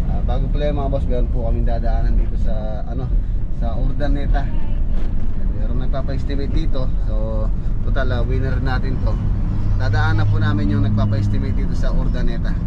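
There is loud background noise as a man talks at a fairly quick pace. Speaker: vlogger. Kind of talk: casual vlog chat. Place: car. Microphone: camera far.

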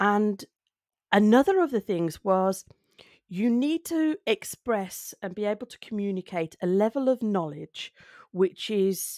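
The tone is dark and mellow, with lively intonation at a fairly slow pace. The sound is dry with no echo, and the background is quiet. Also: woman. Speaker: speaking skills video creator. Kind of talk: solo talk to camera. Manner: conversational, reflective. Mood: thoughtful, calm. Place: home room. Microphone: studio mic.

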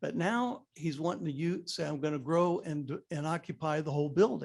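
A man's a normal speaking voice, pitched fairly high and varying in pitch in an ordinary way. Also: moderate pace. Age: 60s. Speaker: public commenter at town council meeting, retired builder. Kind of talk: public comment at council meeting.

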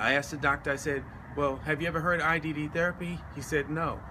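Against noticeable background noise, a man with an American accent speaks in a bright, sharp tone. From US South, Atlanta, Georgia. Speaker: military veteran, patient. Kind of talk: testimony. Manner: halting, with fillers. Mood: earnest, concerned. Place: street. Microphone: phone near.

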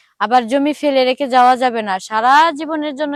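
A woman's high-pitched voice with fairly even intonation and a dry, close sound free of echo. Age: 20s. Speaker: interviewee on street video. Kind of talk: casual interview.

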